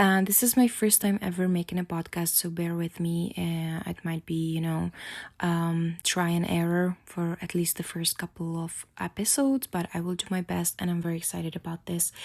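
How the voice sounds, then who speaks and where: Speaking with a Czech accent, a woman keeps a moderate pace with hardly any pauses and fairly even intonation. Her pitch is fairly low, and the recording is very clean with a silent background. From Czech Republic. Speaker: podcast host. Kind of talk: casual podcast monologue. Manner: halting, many fillers.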